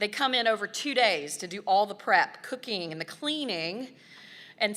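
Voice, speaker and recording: With lively intonation and a bright, sharp tone, a woman speaks at a medium pitch. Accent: Southern US. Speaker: nonprofit staff member presenting volunteer awards. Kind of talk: award presentation speech.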